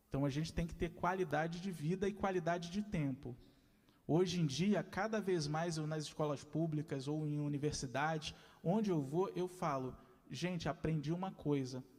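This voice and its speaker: A man with a normal speaking voice talks at a moderate pace, his fairly high pitch moving with ordinary variation. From Rio de Janeiro, west zone (Senador Camará). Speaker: lecturer, arts educator. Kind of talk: lecture.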